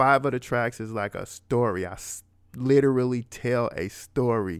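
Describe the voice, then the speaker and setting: A man with a normal speaking voice talks in an American accent at medium pitch and a moderate pace. His pitch varies in an ordinary way, and the recording is very clean with a silent background. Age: 40s. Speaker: rapper and financial educator. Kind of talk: casual interview conversation.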